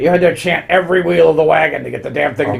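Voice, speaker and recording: Over light background noise, a man rattles along at a very fast pace in a put-on character voice. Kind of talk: comic overacting. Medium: solo performance. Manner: grumpy, rambling, muttering assent.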